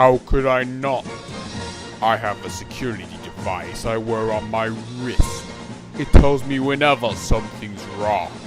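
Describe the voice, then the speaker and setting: A man speaks in a put-on character voice. Music plays clearly in the background. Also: medium pitch for a man, moderate pace. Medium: audio drama. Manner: threatening.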